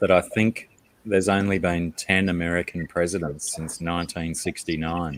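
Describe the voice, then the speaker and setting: A man talks with an Australian accent. His pitch is very deep and low. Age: 40s. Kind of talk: casual chat.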